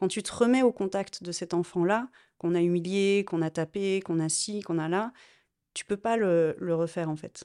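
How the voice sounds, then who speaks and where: Recorded very cleanly against a silent background, a woman's dark, mellow voice comes through with a dry, close sound and no echo. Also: medium pitch for a woman, ordinary pitch variation, moderate pace. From France, Lyon. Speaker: interviewee sharing personal story. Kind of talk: personal testimony interview.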